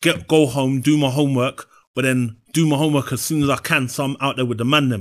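With a South London accent, a man speaks at medium pitch with fairly even intonation. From South London (Brixton). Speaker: personal trainer. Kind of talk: interview.

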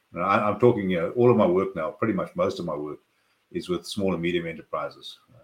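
This man talks at a very fast pace. He has a South African accent. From South Africa, Cape Town. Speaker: business consultant. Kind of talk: interview conversation.

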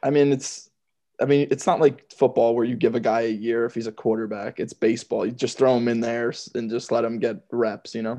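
Over a quiet background, a man with an American accent speaks fairly quickly at medium pitch, his dark, mellow tone flat and monotone. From Georgia, US. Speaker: podcast co-host, baseball fan. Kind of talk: casual chat, sports talk. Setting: remote call between hosts.

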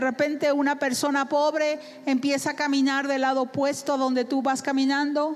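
Noticeable background noise sits behind a woman's voice. Her pitch is high and her intonation monotone and flat. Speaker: interpreter for a visiting preacher. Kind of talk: sermon interpretation.

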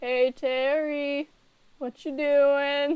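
Using a put-on character voice, a woman speaks at a high pitch with monotone, flat intonation. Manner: casual, amused, addressing him.

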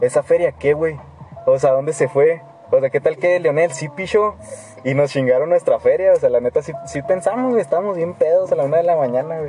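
A man's fairly high voice moves at a fairly quick pace, with ordinary pitch variation and noticeable background noise around it. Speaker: podcast host. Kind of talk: casual chat.

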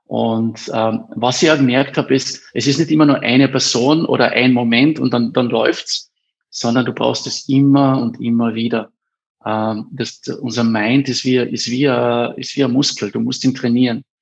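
With fairly even intonation, a man speaks at a moderate pace and a medium pitch. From Austria, Carinthia (Eberndorf). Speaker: education startup founder. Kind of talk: interview. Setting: studio. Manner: hesitant, many fillers.

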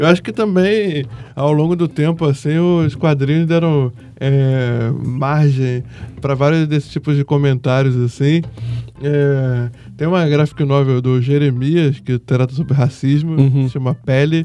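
Music plays in the background as a man of fairly high pitch talks. His pace is fairly slow and his intonation fairly even. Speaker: film critic. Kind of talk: casual chat.

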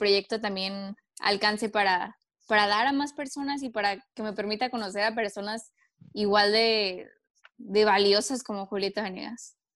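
Fairly high female speech at a moderate pace, with fairly even intonation. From Mexico, Tijuana. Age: 20s. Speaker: singer-songwriter. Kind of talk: casual interview.

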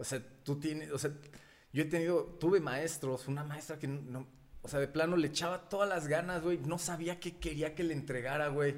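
In a plain, everyday voice, a man talks at a fairly high pitch and moderate pace with fairly even intonation. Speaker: podcast co-host. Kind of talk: casual chat.

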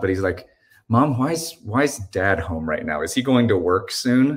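Somewhat breathy, a man's voice moves along at a moderate speed. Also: very clean recording, silent background. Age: 40s. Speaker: pastor. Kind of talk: interview.

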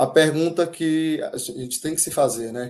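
A man's voice comes through dark and mellow against a quiet background. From Bahia, Brazil. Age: 30s. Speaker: civil engineer, public-sector project manager. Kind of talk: webinar talk.

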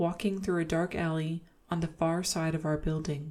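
A soft-spoken woman with a fairly low pitch talks at a moderate pace in a gentle, playful tone. Her intonation is flat and monotone, and the recording is very clean with a silent background. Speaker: ASMR podcast host reading horror stories. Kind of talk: ASMR horror story narration, reading Reddit tales aloud in a hushed, bedtime tone. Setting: home studio, podcast recording. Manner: soft-spoken, gentle, with playful laughs.

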